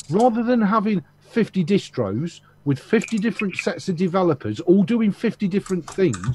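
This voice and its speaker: With hardly any pauses, a man talks at a moderate pace in a high pitch with ordinary pitch variation. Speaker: video chat participant. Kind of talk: casual chat. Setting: video call.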